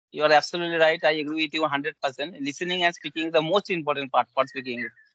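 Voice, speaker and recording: Speaking at a very fast pace, this man has a Bengali accent. His intonation is fairly even. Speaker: English learner. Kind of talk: casual conversation practice. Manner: halting, with fillers.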